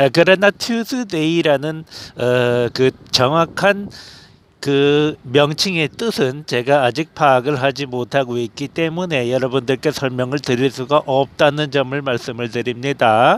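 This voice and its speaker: A man speaks very slowly in a fairly high voice. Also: ordinary pitch variation. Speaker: religious youtuber. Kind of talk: sermon-style monologue. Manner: emphatic, declarative.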